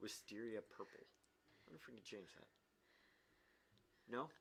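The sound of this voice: Using a fairly low pitch with vocal fry, a man speaks at a moderate pace in a fairly bright tone with lively intonation.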